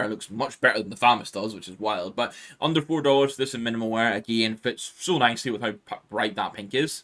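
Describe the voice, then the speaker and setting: Bright and sharp in tone, a man talks at a very fast pace with lively intonation over a very clean recording with a silent background. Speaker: gaming YouTuber. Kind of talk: gaming video commentary. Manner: casual, filler-heavy.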